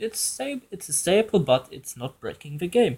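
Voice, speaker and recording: A man with lively intonation on a very clean recording against a silent background. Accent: non-native. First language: German. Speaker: gaming YouTuber. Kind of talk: casual commentary. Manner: halting, with restarts.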